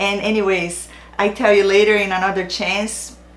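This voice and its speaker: A woman talks at medium pitch with a Brazilian accent and a fairly slow pace. Audible room echo and noticeable background noise are present. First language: Portuguese. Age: 40s. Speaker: narcissistic abuse awareness YouTuber. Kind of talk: direct-to-camera channel introduction. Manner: non-native, occasional hesitations.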